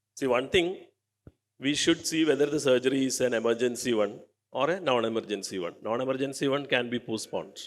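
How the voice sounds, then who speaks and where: This man puts on a hoarse character voice at a medium pitch. He talks at a very fast pace. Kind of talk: medical discussion, lecturing.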